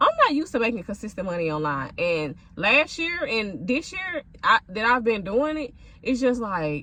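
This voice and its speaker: Amid noticeable background noise, a woman with a fairly high pitch speaks at a moderate pace, her voice making very wide pitch swings. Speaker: content creator and food vlogger. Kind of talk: casual vlog rant.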